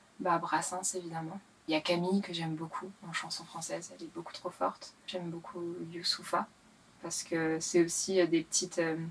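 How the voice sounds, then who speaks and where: With noticeable background noise behind her, a woman with a fairly low voice talks at a moderate pace in monotone, flat intonation, her loudness swinging widely. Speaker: singer-songwriter and rapper. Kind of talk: interview. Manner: hesitant, many fillers.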